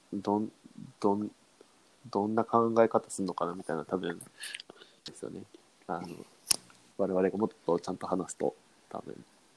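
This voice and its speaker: A man's fairly low-pitched voice with long, frequent pauses and big swings in loudness, in a dry, close sound with no echo. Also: fairly even intonation, moderate pace. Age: young. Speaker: podcast co-host, management consultant. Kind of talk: casual chat.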